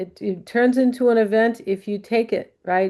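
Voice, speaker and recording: Over a quiet background, a woman with a fairly high pitch and ordinary pitch variation speaks in a dark, mellow tone. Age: 60s. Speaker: astrologer. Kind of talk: astrology forecast monologue. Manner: casual, many fillers.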